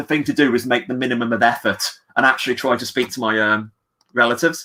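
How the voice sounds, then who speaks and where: With an English accent, a man speaks at a fairly quick pace in a bright, sharp tone, showing ordinary pitch variation. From England. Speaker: comic book writer. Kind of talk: casual chat. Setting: livestream. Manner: fast.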